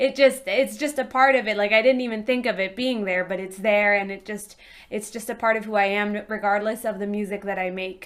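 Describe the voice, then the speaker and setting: A woman with a Spanish accent talks at a fairly quick pace with hardly any pauses. Her pitch is fairly high and her intonation fairly even. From US, immigrant from Peru at age four. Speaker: musician. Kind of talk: panel discussion.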